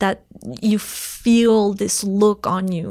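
A woman speaks with a French Canadian accent at a medium pitch, her intonation fairly even, on a very clean recording with a silent background. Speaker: entrepreneur, website co-founder. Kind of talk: interview.

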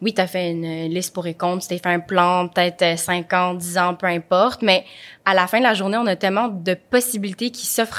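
A woman uses a normal speaking voice at a medium pitch and a fairly quick pace, with fairly even intonation, in a very clean recording with a silent background. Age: 20s. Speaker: podcast host. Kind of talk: interview. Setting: studio.

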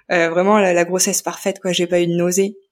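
A woman is speaking at a fairly quick clip. Her pitch sits in the medium range. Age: 30s. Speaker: young mother and podcaster. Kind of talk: testimony. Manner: halting, many hesitations.

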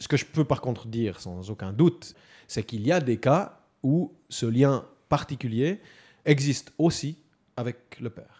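A dark, mellow voice with a Swiss accent, fairly slow and full of long, frequent pauses, with lively intonation and big jumps in loudness, on a very clean recording against a silent background. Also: man, medium pitch for a man. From Switzerland, canton of Neuchâtel. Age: 40s. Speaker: stay-at-home father. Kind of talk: interview testimony.

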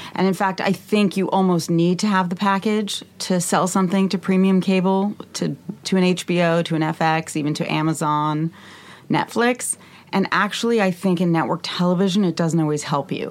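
At a moderate pace, a woman speaks with an unremarkable speaking voice, fairly low in pitch, with fairly even intonation and very even loudness. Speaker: TV writer. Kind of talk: panel interview, casual chat. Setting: studio.

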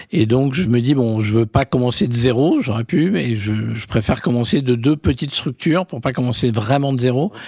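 A man talks at a moderate pace with hardly any pauses. His tone is dark and mellow, somewhat breathy. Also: medium pitch for a man, ordinary pitch variation, very clean recording, silent background. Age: 50s. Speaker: media entrepreneur. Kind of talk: interview. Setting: office.

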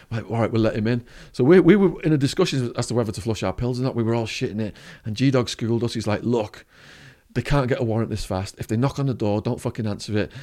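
Speaking at a very fast pace in a northern English accent, the voice has a dark, mellow tone and ordinary pitch variation. The recording is very clean, with a silent background. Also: man, medium pitch for a man. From northern England. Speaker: former drug trafficker turned speaker. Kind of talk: storytelling interview.

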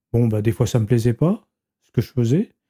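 In a dry, close sound with no echo, a man speaks at medium pitch with a dark, mellow tone and ordinary pitch variation. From western France, Vienne. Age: 70s. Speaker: retired manual worker. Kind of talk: interview testimony. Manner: halting, repetitive.

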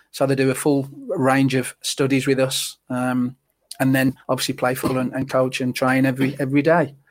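The speaker is a man with a medium pitch. He talks at a moderate pace in a flat monotone. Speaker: ex-footballer. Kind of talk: casual chat.

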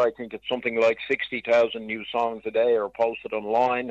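A man in an unremarkable speaking voice talks at a moderate pace and a medium pitch. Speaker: music promoter and author. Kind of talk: casual interview.

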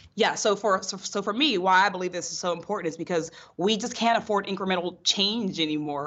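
Speaking fairly fast, a woman uses an American accent. Hers is an ordinary speaking voice, fairly low in pitch. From western Pennsylvania, North Braddock near Pittsburgh. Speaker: political candidate. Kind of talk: interview.

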